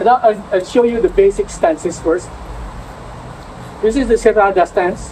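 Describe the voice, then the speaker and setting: In a Visayan Filipino accent, the speech moves at a fairly slow pace with lively intonation over noticeable background noise. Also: man. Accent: Filipino (Cebuano) English. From Philippines, Cebu City. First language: Cebuano. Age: 70s. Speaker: martial arts instructor. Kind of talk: instructional demonstration. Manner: halting.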